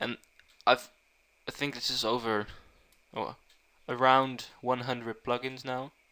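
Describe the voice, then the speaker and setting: A man with a Dutch accent, a bright, sharp tone and monotone, flat intonation. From Netherlands. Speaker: programming tutor. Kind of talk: tutorial. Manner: halting.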